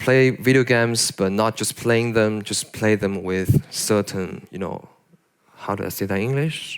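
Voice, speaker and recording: Speaking at a fairly slow pace, a man with a fairly low pitch shows ordinary pitch variation. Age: young. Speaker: concept artist, conference speaker. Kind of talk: audience Q&A at conference. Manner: hesitant, many fillers.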